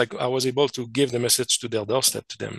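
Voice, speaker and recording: Here a man talks at a fairly quick pace. His pitch is medium. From Quebec / French Canada. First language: French. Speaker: scientist and contact experiencer. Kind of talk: interview presentation. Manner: halting, many fillers and restarts.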